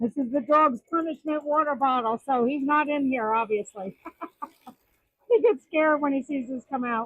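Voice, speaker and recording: A high-pitched woman's voice with ordinary pitch variation at a moderate pace. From New Jersey. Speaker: hobbyist woodturner. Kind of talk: casual tutorial. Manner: halting, many fillers.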